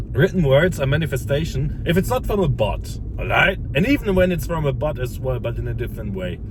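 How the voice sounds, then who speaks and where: Over noticeable background noise and audible room echo, a man talks in an animated tone at a moderate pace. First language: not English. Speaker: self-improvement content creator. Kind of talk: casual motivational monologue. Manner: halting, many repeats and false starts.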